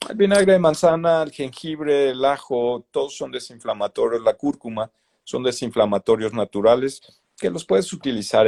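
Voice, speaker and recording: This man has a medium pitch and lively intonation, moving at a fairly quick pace. The sound is dry and close, with no echo. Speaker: doctor. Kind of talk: interview.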